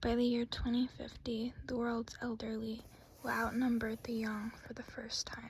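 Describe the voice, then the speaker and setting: Soft-spoken, this speaker takes things at a fairly slow pace. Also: woman. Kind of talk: ASMR book reading of trivia facts.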